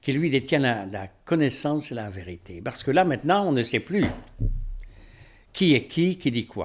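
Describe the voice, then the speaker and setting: Speaking at a fairly slow pace with long, frequent pauses, a man uses a fairly high voice with vocal fry and very wide pitch swings, in a very clean recording with a silent background. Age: 70s. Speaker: spiritual teacher. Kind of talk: rant to camera. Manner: animated.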